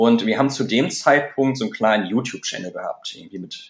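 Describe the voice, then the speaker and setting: Here a man speaks at medium pitch. His intonation stays fairly even. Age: 30s. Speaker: start-up founder and managing director. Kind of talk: interview. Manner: hesitant with many fillers.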